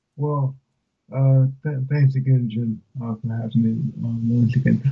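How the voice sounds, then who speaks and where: A man of medium pitch speaks at a fairly slow pace in a dark, mellow tone, somewhat breathy, with fairly even intonation. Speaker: motivational speaker. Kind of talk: interview. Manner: halting, many fillers. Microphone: remote line, audio dropped.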